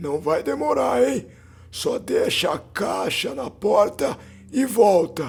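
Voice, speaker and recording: Hoarse and raspy, a man uses a put-on character voice at a fairly high pitch and a very slow pace. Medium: read story. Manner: curt, authoritative.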